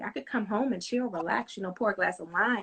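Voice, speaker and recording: Fairly quick speech from a woman, her pitch varying in an ordinary way. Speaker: home cook and small business owner. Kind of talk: casual interview. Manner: fast.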